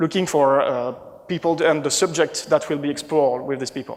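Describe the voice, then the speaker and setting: A man with a French accent at a fairly quick pace, ordinary pitch variation, and noticeable background noise. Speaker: conference speaker, marketing manager. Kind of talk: conference talk. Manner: halting, many fillers and restarts.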